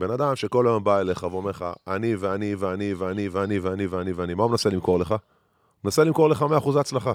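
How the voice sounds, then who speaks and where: Very clean and with a silent background, the recording carries a man with a fairly low pitch and ordinary pitch variation speaking at a very fast pace. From Israel, rural moshav. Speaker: former basketball player, podcast co-host. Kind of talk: casual chat. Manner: hesitant, many fillers.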